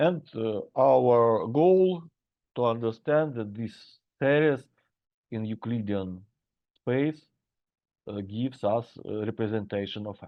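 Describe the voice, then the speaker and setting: A man with a Russian accent speaks at a very slow pace with lively intonation. He leaves long, frequent pauses. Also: medium pitch for a man, big swings in loudness. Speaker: university lecturer. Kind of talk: lecture. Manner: halting.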